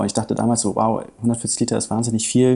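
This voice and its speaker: Dark, mellow tone from a man at a medium pitch. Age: 30s. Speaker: coffee company managing director. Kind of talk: interview.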